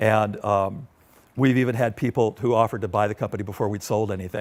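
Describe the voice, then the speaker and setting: Speaking very fast with fairly even intonation, a man uses an American accent and a fairly low pitch. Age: 60s. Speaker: industrial designer and entrepreneur. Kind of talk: public talk with audience Q&A. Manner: casual, conversational with fillers.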